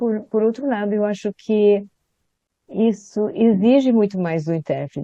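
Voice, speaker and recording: A woman speaks at a fairly slow pace with a dark, mellow tone. The sound is dry and close, with no echo. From Sweden, raised in Brazil from age 10. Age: 80s+. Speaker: retired conference interpreter. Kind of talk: interview.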